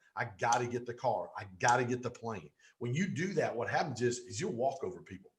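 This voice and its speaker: With a Southern US accent, a somewhat breathy man at medium pitch speaks at a moderate pace in an animated tone with lively intonation. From Pontiac, Michigan and Georgia, US. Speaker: business coach. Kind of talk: interview.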